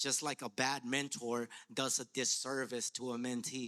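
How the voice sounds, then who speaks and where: A man with a Spanish accent speaks in a bright, sharp, passionate tone with fairly even intonation. The sound is dry and close, with no echo. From Latin America, immigrant to US. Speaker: educator and artist. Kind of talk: panel discussion. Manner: rhythmic, passionate; halting, repeats words.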